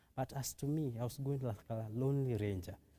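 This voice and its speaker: Fairly quick speech comes from a man with an East African accent and a dark, mellow tone. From Kenya, Nairobi. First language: Kiswahili. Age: 20s. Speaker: testimony guest. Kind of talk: testimony. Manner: halting.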